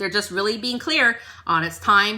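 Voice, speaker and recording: Bright and sharp in tone, a woman speaks at a medium pitch and a moderate pace with ordinary pitch variation. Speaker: tarot reader. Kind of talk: tarot reading. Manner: like a life coach.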